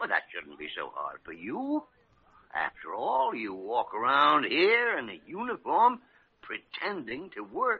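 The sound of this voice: A man puts on a character voice at medium pitch, using very wide pitch swings. His fairly slow delivery has a slightly husky edge and vocal fry.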